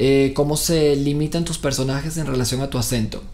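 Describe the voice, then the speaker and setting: At a fairly quick pace, a man speaks at a fairly high pitch, with audible room echo and noticeable background noise. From Venezuela. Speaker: actor. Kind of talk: interview. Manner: hesitant, many fillers.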